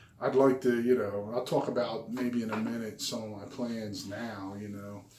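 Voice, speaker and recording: A man speaks at a medium pitch and moderate pace with fairly even intonation. His loudness swings widely, and there is noticeable background noise. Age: 50s. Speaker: health and diet vlogger. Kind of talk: personal video diary. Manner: hesitant, many fillers.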